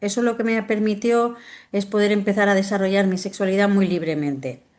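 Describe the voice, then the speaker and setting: A woman with a medium pitch and ordinary pitch variation is heard in a quiet background. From Spain, Valencia. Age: 50s. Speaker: doctor and sexologist. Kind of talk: interview. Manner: hesitant, with many fillers.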